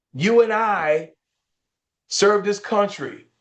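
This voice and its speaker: Here a man speaks at a very slow pace. His pitch variation is ordinary. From rural Georgia, Burke County. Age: 60s. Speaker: politician, gubernatorial candidate. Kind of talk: campaign interview. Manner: emphatic, oratorical.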